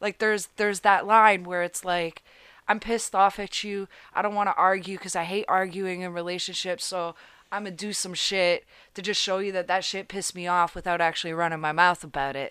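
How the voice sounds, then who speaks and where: A woman with a normal speaking voice talks at a moderate pace, medium in pitch and fairly even in intonation, on a very clean recording with a silent background. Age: 20s. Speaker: podcast guest. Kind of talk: casual chat. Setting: studio.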